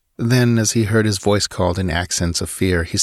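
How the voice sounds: The pitch shifts only in an ordinary way here. The clip features a natural reading voice.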